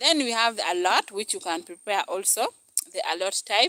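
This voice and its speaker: Pitch swings very widely as a woman talks at a fairly quick pace. The sound is dry and close, with no echo. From northern Uganda, Gulu. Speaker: cooking YouTuber. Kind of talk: live stream cooking chat.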